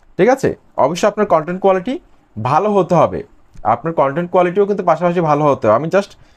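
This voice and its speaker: Lively in intonation, a man speaks with a high pitch. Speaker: YouTube growth service seller. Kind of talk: sales pitch.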